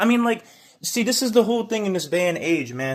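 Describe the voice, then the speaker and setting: Loud and animated, a man with a high pitch and lively intonation talks at a fairly quick pace in a very clean recording with a silent background. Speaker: video blogger on faith and gangstalking. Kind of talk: video monologue. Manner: animated, repetitive filler 'man'.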